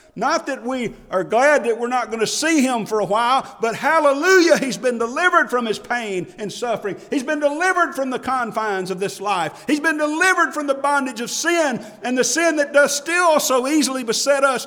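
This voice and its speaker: A man's raised, projected voice at an extremely high pitch, in an Alabama accent, with noticeable background noise. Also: lively intonation, hardly any pauses. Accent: Alabama Southern US. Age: 50s. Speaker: pastor. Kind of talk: heartfelt Baptist sermon, personal funeral testimony building to a triumphant hallelujah. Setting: church pulpit. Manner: impassioned, rising preacher cadence with emphatic exclamations; halting with repeated word starts and filler uh.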